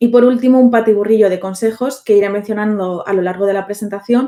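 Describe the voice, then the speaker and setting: Speech comes at a fairly quick pace. Its tone is dark and mellow. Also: woman. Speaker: writer giving a talk on character creation. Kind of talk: online presentation to an audience. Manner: hesitant, many fillers.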